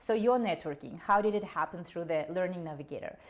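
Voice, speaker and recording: Ordinary pitch variation and a moderate pace in a Russian accent, on a very clean recording with a silent background. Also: woman. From Kazakhstan. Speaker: career advisor for immigrant students. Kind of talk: casual podcast conversation.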